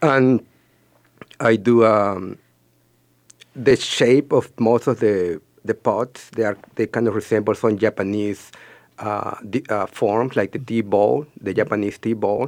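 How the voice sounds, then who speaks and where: A man with a Spanish accent talks at a fairly slow pace in a fairly low voice, leaving long, frequent pauses and keeping his intonation fairly even. The recording is very clean, with a silent background and a dry, close sound with no echo. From Peru. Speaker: ceramic artist. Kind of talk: radio interview.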